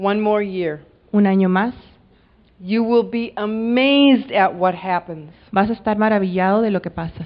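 A woman's unremarkable speaking voice at a medium pitch and a fairly slow pace. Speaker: interpreter. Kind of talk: live interpretation. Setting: stage with audience.

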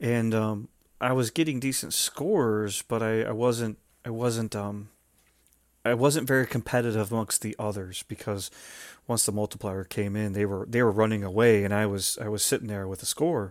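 On a very clean recording with a silent background, a man speaks at a moderate pace with a fairly low pitch and fairly even intonation. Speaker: RC helicopter podcast host and competition pilot. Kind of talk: casual chat. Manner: loud; halting with many fillers.

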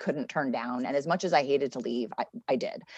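Here is a woman with a normal speaking voice. She talks at a fairly quick pace. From Connecticut. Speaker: city government official. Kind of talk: interview.

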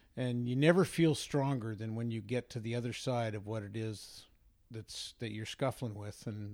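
A man talks with a Western Canadian accent. His pace is moderate and his intonation fairly even. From Vancouver, Canada. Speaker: sports radio host. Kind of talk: casual interview conversation.

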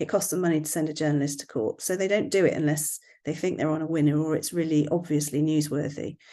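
A woman talks at a very fast pace with hardly any pauses, in a very deep, low voice with a dark, mellow tone. She has a slight West Country accent, and the background is quiet. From West Country, England. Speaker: family law barrister and blogger. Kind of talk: casual interview chat.

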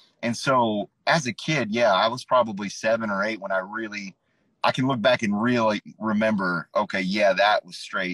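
Using a normal speaking voice, a man of medium pitch speaks at a moderate pace with lively intonation in a dry, close sound with no echo. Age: 30s. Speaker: mental health advocate sharing his experience with OCD. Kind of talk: casual interview on a live stream. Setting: live stream video call.

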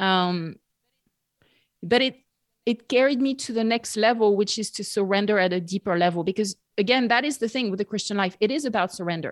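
In a very clean, dry and close recording with a silent background and no echo, a woman with a French accent talks fairly quickly at a medium pitch with ordinary variation. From France, near Bordeaux. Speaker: podcaster and Bible teacher. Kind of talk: casual chat.

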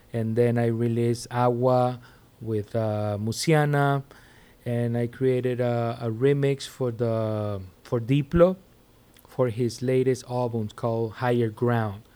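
Speaking in a Spanish accent, the voice moves at a very slow pace. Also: man, medium pitch for a man, fairly even intonation. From Venezuela. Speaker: DJ and music producer. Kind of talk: casual interview.

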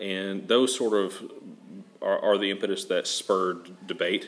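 The speaker has a Southern US accent and keeps a moderate pace. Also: man. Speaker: think tank president. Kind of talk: interview.

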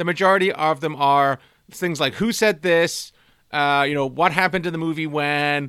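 In a very clean recording with a silent background, a man with an ordinary speaking voice and fairly high pitch speaks at a moderate pace with fairly even intonation. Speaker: quiz master. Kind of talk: casual trivia quiz.

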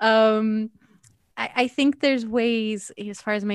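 A woman with a Canadian accent speaks at a very slow pace, the sound dry and close with no echo on a very clean recording with a silent background. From Canada, Edmonton. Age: 40s. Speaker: singer-songwriter and author. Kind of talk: interview.

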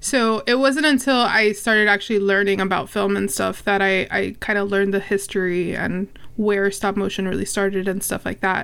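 With hardly any pauses, a woman with an unremarkable speaking voice and a medium pitch talks at a moderate pace on a very clean recording with a silent background. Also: ordinary pitch variation. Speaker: podcaster. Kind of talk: casual chat.

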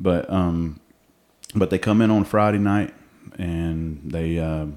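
A man's very deep, low voice with a Southern US accent at a moderate pace, with fairly even intonation. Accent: Southern US (Georgia). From Georgia, US South. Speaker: ministry co-founder. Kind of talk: casual chat. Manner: halting, many fillers.

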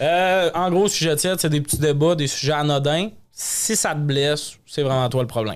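Speaking at a moderate pace with a Lac-Saint-Jean accent, a man has a fairly high pitch, ordinary pitch variation and very even loudness. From Quebec, Lac-Saint-Jean. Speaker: comedian and podcast host. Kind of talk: casual chat. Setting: studio.

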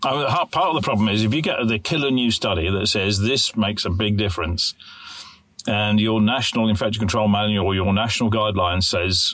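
A man with a British accent, fairly low pitch, ordinary pitch variation, a fairly quick pace and very even loudness. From UK. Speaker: podcast co-host, infection control specialist. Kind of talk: casual chat.

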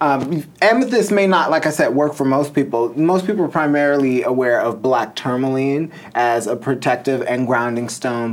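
Over noticeable background noise, a man speaks at a fairly quick pace, with a medium pitch and ordinary pitch variation. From US Midwest, northern Illinois. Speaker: crystal and tarot entrepreneur. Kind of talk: casual interview.

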